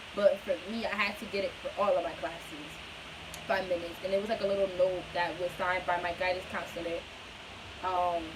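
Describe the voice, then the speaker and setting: A woman talks at a medium pitch. Audible room echo and noticeable background noise surround her voice. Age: 20s. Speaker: vlogger with Tourette syndrome. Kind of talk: personal vlog talk. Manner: stutter; casual, filler-heavy.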